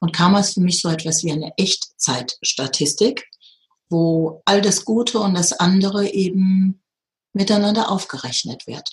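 Somewhat breathy, a woman speaks at a medium pitch. She talks at a fairly slow pace. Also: ordinary pitch variation. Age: 50s. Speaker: spiritual teacher and medium. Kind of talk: interview.

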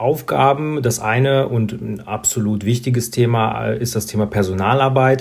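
Over noticeable background noise, a man speaks at a fairly slow pace and medium pitch with ordinary pitch variation. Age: 30s. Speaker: insurance sales manager. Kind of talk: interview.

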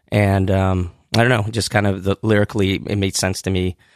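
Against a quiet background, a man with a West Coast accent speaks in a monotone, flat intonation, with a dry, close sound and no echo. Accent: general American, West Coast. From Southern California, born in Iran. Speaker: rock singer and rapper. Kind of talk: casual interview. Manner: halting, many fillers.

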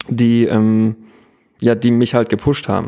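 Moderate pace from a man at medium pitch, his tone dark and mellow. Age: 30s. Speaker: photographer. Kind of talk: interview. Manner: halting.

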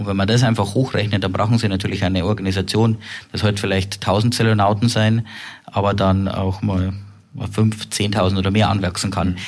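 Over noticeable background noise, a man talks at a fairly quick pace in a fairly low, monotone, flat voice. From Upper Bavaria, Germany. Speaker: tech company co-CEO. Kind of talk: interview.

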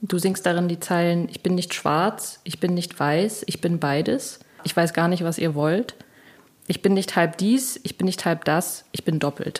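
A woman uses an ordinary speaking voice, fairly low in pitch, at a fairly slow pace. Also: ordinary pitch variation. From Thuringia, eastern Germany. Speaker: podcast host, singer-songwriter. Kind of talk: interview chat.

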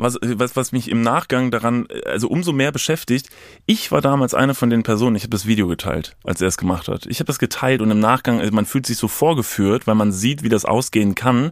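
A plain, everyday voice moves at a fairly quick pace with ordinary pitch variation in a very clean recording with a silent background. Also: man, medium pitch for a man. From Lower Rhine, NRW (Kevelaer, near Dutch border). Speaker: podcaster and content creator. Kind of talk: casual chat.

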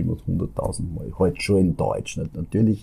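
The man's pitch is very deep and low, and his voice is somewhat breathy. He keeps a moderate pace with ordinary pitch variation. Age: 60s. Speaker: fairy tale storyteller. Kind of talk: interview. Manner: halting.

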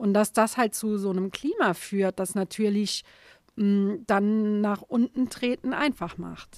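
The speech moves at a very slow pace with fairly even intonation. The sound is dry and close, with no echo. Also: woman, medium pitch for a woman. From Saarland, Germany. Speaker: comic artist. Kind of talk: interview conversation.

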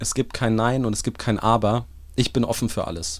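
Speaking fairly quickly, the man keeps his voice at a medium pitch. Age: 30s. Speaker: startup founder and CEO. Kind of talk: interview. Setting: mobile podcast studio at a trade fair. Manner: animated.

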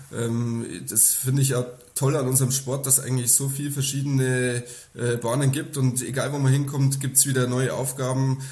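With music in the background and audible room echo, a man speaks at a moderate pace in a medium pitch, his intonation monotone and flat. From Upper Palatinate, Bavaria (Kümmersbruck near Amberg). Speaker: professional nine-pin bowler. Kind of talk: interview.

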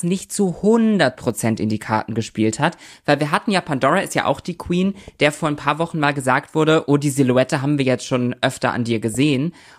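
The tone is animated, and the pace is moderate. The recording is very clean, with a silent background. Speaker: podcast co-host. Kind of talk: casual banter podcast chat. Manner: playful.

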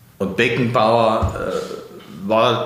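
Noticeable background noise and audible room echo around a man at medium pitch. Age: 70s. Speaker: retired judge and prosecutor. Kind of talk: interview.

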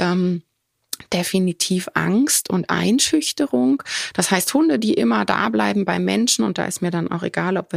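A normal speaking voice from a woman, fairly low-pitched and moderately paced, in a dry, close sound with no echo. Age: 40s. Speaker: veterinarian and dog trainer, podcast host. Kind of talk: solo podcast talk. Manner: casual with frequent filler sounds.

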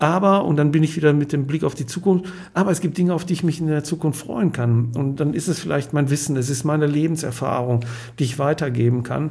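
The man's pitch sits fairly high, with ordinary variation and a fairly quick pace. His tone is dark, mellow and somewhat breathy. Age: 60s. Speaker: clinical hypnotherapist and company director. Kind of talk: podcast conversation.

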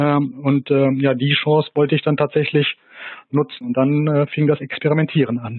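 This man's voice sits fairly high, with ordinary pitch variation and a moderate pace. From Rhineland, near Bonn. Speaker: gin producer. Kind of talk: interview. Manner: halting.

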